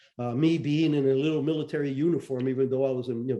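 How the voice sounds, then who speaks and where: A man with an American accent speaks at a very fast pace. His tone is dark and mellow, with fairly even intonation. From Cuba, then US from age ten. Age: 70s. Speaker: retired intelligence officer and author. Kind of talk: interview. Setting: podcast interview.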